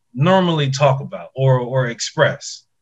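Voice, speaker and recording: A man's somewhat breathy voice at a medium pitch, with fairly even intonation. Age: 30s. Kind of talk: casual chat. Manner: halting, repeating words.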